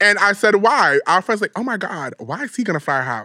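Raised and projected, a man's high, bright, sharp voice comes with an animated tone at a fairly quick pace, in a dry, close sound with no echo. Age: 20s. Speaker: podcast co-host. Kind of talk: casual chat.

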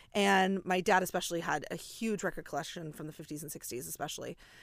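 Talking at a very fast pace, a woman with an American accent and medium pitch shows vocal fry and fairly even intonation on a very clean recording with a silent background. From US Midwest. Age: 30s. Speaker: podcast host and show choir teacher. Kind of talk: casual interview chat. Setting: recording in her closet.

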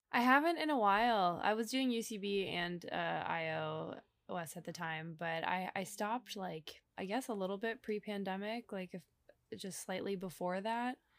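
Speaking at a moderate pace with an American accent, a woman has an ordinary speaking voice, medium in pitch with ordinary pitch variation, on a very clean recording with a silent background. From US Midwest, Wisconsin. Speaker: musician and stylist. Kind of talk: casual comedic chat.

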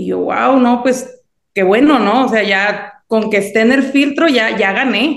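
A woman with a plain, everyday voice speaks at a fairly high pitch. Her pitch variation is ordinary. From Mexico, Sinaloa. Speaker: songwriter. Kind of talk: interview.

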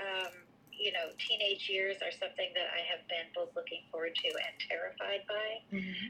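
Noticeable background noise runs through the clip. The voice belongs to a woman. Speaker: news editor. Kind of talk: casual interview chat. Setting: online audio space.

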